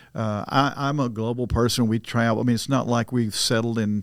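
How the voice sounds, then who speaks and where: A man speaks at a fairly quick pace in a monotone, flat intonation at medium pitch. The recording is very clean, with a silent background. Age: 70s. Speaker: urban ministry leader. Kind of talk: podcast interview.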